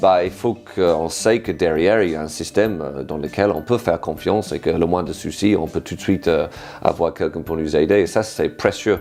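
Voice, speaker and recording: This man has a British accent and a very deep, low pitch. He talks at a fairly quick pace with ordinary pitch variation. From Britain. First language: English (speaking French). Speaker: improv workshop leader. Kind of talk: interview testimony. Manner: halting, many fillers.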